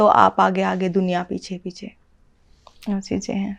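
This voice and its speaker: A woman talks at a medium pitch. She has an ordinary speaking voice. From Haryana. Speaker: Haryanvi folk singer. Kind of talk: interview answer.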